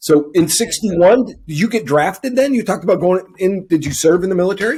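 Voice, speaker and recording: Fairly quick and full of lively intonation, this man's voice is high-pitched. His tone is dark and mellow. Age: 60s. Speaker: interviewer. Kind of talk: interview.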